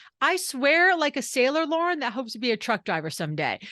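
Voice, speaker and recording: The woman's voice is high, with a bright, sharp tone. She sounds animated, and the background is quiet. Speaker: leadership coach and author. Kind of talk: podcast interview. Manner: fast.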